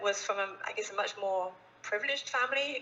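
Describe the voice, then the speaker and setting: Speech comes at a moderate pace. It is delivered in an English accent. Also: woman. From England, rural village near Cambridge. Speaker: philanthropy advisor. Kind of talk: interview. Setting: video call.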